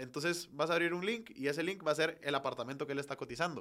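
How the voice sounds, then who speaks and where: Very fast and bright, a man's sharp-toned voice sits at fairly high pitch with ordinary pitch variation. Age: 20s. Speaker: virtual reality entrepreneur. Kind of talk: interview.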